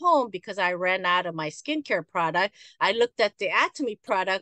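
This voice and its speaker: A woman's bright, sharp voice with lively intonation at a moderate pace, dry and close with no echo, against a quiet background. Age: 60s. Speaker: network marketing leader and spa owner. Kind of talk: motivational talk. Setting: video call. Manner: animated.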